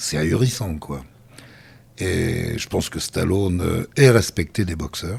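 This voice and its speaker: A man speaks very slowly with a very deep, low pitch and a somewhat breathy voice. His intonation is lively, his loudness swings widely, and he takes long, frequent pauses. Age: 70s. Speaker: voice actor. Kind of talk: interview answer.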